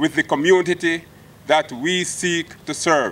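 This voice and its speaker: At a fairly slow pace, a man speaks with a high pitch. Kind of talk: formal acceptance speech. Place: open country. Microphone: podium.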